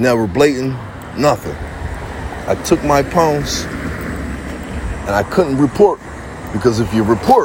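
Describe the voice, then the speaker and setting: Speaking at a fairly slow pace with lively intonation, a man with an American accent and a medium pitch is heard over noticeable background noise. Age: 40s. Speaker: livestreamer. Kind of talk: rant. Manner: animated.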